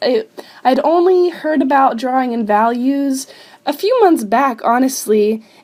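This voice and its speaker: Noticeable background noise sits behind a woman speaking in an upbeat tone. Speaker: digital artist. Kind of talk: casual narration over speedpaint.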